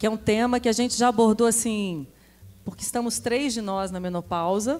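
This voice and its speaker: A woman speaks at a moderate pace in a fairly high voice with ordinary pitch variation. Music plays in the background. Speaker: podcast host. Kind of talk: live panel talk. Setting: stage with audience.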